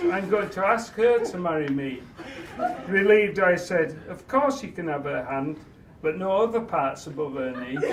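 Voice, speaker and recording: Over noticeable background noise, a man with a Yorkshire accent speaks in a warm tone at a high pitch with lively intonation. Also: moderate pace. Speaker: father of the bride. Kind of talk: wedding speech. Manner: humorous, warm.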